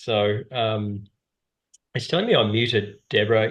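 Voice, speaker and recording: A man with an Australian accent, flat and monotone. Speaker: whitewater paddling instructor and outdoor business owner. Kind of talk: webinar presentation.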